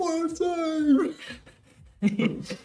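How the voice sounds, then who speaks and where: A put-on character voice shouts at a high pitch. It is loud and pitched up throughout. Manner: yelling.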